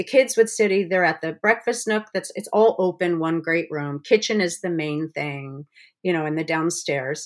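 Speaking at a moderate pace, a woman with a fairly low pitch and an ordinary speaking voice uses lively intonation. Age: 60s. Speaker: cookbook author and former special ed teacher. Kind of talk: casual interview.

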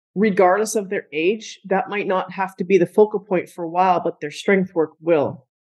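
A woman with a normal speaking voice talks at a moderate pace with hardly any pauses. Her pitch is medium and her intonation fairly even. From Canada. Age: 40s. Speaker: strength coach and gym owner. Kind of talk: interview conversation.

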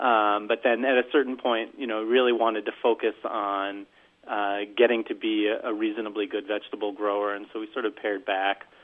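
Fairly low-pitched and monotone, a man speaks with flat intonation at a fairly quick pace. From northern New Jersey. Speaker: farmer. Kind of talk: casual interview. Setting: phone call.

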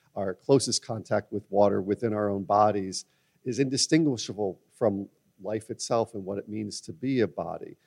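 This man has an unremarkable speaking voice, fairly low in pitch, with ordinary pitch variation at a moderate pace, the sound dry and close with no echo. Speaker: philosopher. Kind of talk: roundtable discussion. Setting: stage with audience.

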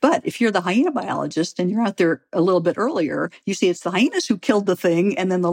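A woman with a Midwestern American accent talks at a fairly quick pace and medium pitch in a dry, close sound with no echo. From US Midwest, St. Louis, Missouri. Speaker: biology professor. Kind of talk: interview.

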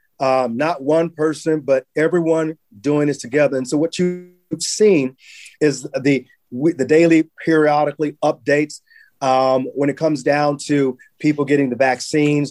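Over music in the background, a man with a fairly high pitch talks at a moderate pace with fairly even intonation. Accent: American. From Los Angeles, California (Watts). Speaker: state legislator. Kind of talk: interview.

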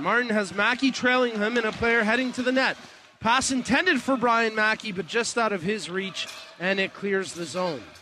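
Projecting a raised voice, a man speaks at a moderate pace with a high pitch and ordinary pitch variation. There is noticeable background noise. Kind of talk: live sports commentary (play-by-play).

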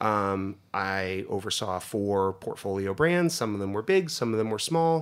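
A man with an American accent speaks in a normal speaking voice, fairly low in pitch with lively intonation. The recording is very clean, with a silent background. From US, northeast Pennsylvania. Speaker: food company executive. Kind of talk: interview conversation.

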